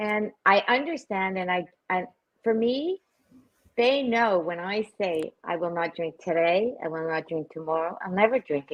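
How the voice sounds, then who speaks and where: A woman speaks at a medium pitch with lively intonation. Her pace is moderate, broken by long, frequent pauses. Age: 60s. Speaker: recovery platform founder and social media influencer. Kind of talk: casual interview chat.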